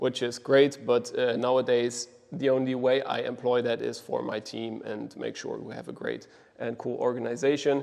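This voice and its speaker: A man with a German accent speaks with big swings in loudness. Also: moderate pace. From Germany, Düsseldorf. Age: 20s. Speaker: agency co-founder, operations lead. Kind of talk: mastermind presentation. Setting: group mastermind session. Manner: casual, many fillers.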